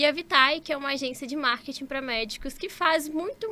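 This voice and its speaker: With a Minas Gerais accent, a woman speaks at a moderate pace in a raised, projected voice, high-pitched with a bright, sharp tone. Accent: Minas Gerais (mineiro). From Minas Gerais, Brazil (Conselheiro Lafaiete, interior). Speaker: doctor and entrepreneur. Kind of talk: podcast interview.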